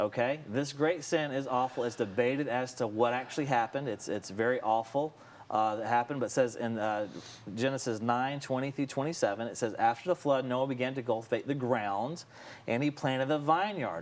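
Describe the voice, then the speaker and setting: At a fairly quick pace, a man speaks in a plain, everyday voice at medium pitch with ordinary pitch variation. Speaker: Bible teacher. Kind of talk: teaching.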